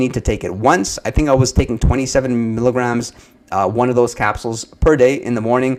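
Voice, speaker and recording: A man with a medium pitch at a fairly quick pace. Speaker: supplement reviewer, livestream host. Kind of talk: live Q&A stream. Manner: fast.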